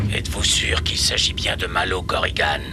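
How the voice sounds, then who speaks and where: A man speaks in a cartoonish character voice at a moderate pace. Loud noise fills the background. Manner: cold, calculating.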